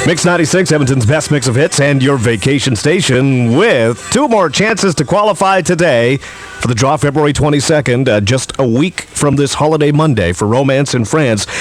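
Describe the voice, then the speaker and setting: Over music in the background, the speech moves at a moderate pace with hardly any pauses and very even loudness. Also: man, fairly high pitch for a man. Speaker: radio host. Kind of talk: radio show host patter, aircheck.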